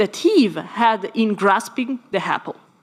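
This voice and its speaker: A woman with an Italian accent speaks with very wide pitch swings. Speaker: philosophy scholar panelist. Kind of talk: conference talk. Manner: formal.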